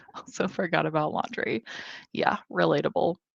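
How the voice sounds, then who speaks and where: A woman with a Midwestern American accent, quiet background and a dry, close sound with no echo. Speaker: booktuber hosting reading livestream. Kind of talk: livestream chat reading comments. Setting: home livestream.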